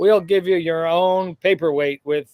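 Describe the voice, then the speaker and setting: At a moderate pace, a man talks in an ordinary speaking voice with ordinary pitch variation and a dry, close sound with no echo. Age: 60s. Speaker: cardiologist. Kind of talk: casual chat.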